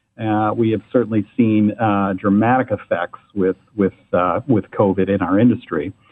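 An unremarkable speaking voice from a man with an American accent, fairly low in pitch, at a moderate pace with fairly even intonation. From Michigan, Ann Arbor. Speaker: travel agency executive. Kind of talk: casual interview. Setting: phone or remote call.

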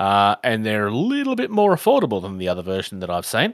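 In an Australian accent, a man is captured in a very clean recording with a silent background and a dry, close sound with no echo. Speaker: tabletop gaming podcast host. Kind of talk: casual chat.

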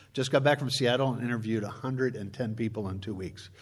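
A man talks at a fairly quick pace with a medium pitch and ordinary pitch variation. Audible room echo surrounds his voice. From Chicago. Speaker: preacher and church conflict consultant. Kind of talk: sermon.

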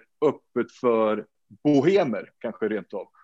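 A man's very slow speech plays out over a quiet background. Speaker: podcast host. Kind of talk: casual chat.

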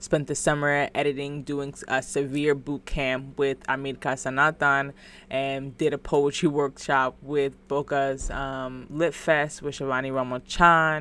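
A woman with an American accent speaks in a very deep, low voice at a fairly slow pace with monotone, flat intonation and hardly any pauses, on a very clean recording with a silent background. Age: 20s. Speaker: podcast host and poet. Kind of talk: casual monologue.

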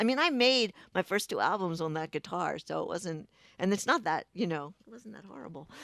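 A woman with an American accent and a normal speaking voice talks at a fairly quick pace and a medium pitch, with lively intonation, big swings in loudness and a dry, close sound with no echo. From Baltimore, Maryland (Pikesville). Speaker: singer-songwriter. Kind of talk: interview.

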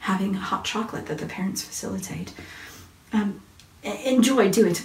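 With an American accent, a woman speaks in a warm tone at a fairly quick pace. Background noise is noticeable. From US. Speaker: parenting and faith speaker. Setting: Facebook Live, online video. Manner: warm, chatty.

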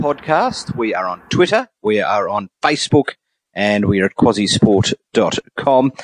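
A man with an Australian accent at a fairly slow pace, very wide pitch swings, and a dry, close sound with no echo. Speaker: sports podcast host. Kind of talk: casual chat. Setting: remote call.

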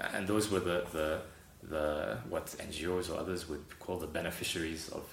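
Very deep, low male voice at a moderate pace, ordinary pitch variation and audible room echo. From South Africa. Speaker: humanitarian aid worker. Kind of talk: interview.

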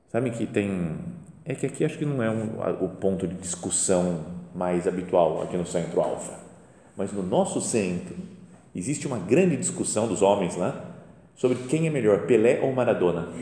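Noticeable background noise and audible room echo fill this recording. A man speaks at a moderate pace with a fairly low pitch and lively intonation. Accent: Brazilian. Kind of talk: guided meditation talk. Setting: chapel before the tabernacle. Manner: conversational.

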